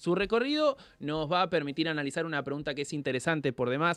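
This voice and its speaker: A man at a very fast pace. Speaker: radio interviewer. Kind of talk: interview.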